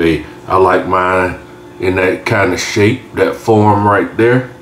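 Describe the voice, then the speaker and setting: In a room with audible echo and light background noise, a man talks at a very slow pace with a fairly low pitch and ordinary pitch variation. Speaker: home cook channel host. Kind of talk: casual cooking tutorial. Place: kitchen.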